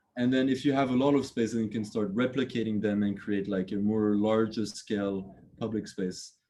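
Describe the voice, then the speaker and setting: A man with a slight French accent talks at a fairly quick pace. His tone is dark and mellow, with ordinary pitch variation. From France. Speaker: architect. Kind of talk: lecture. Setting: video call. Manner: halting, many fillers and repeats.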